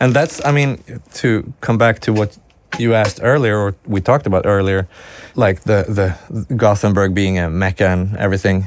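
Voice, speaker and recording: A man speaks with a Swedish accent at a fairly low pitch. His pace is moderate, and his pitch variation is ordinary. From Sweden. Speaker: music producer and recording engineer. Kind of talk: podcast interview. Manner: hesitant, with frequent self-corrections.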